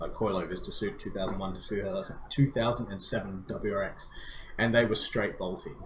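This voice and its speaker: With an Australian accent, the speaker goes at a fairly quick pace amid audible room echo and noticeable background noise. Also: man. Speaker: car enthusiast podcast co-host. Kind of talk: casual chat. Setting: live stream.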